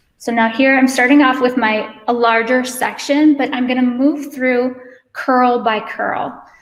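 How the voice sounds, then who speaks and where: In a room with audible echo, a woman talks at a high pitch and a fairly slow pace, monotone, with flat intonation. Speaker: hair stylist educator. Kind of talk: live hair tutorial.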